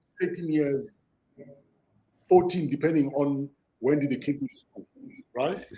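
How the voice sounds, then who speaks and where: A man with a South African accent, a dark, mellow tone and a fairly high pitch, somewhat breathy, with ordinary pitch variation, big swings in loudness and long, frequent pauses. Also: moderate pace. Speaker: podcast host. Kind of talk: podcast conversation.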